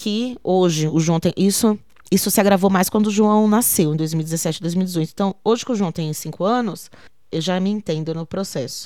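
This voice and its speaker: A woman with a dark, mellow tone speaks at medium pitch and a moderate pace, using ordinary pitch variation. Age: 30s. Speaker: poet and arts educator. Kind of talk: interview testimony.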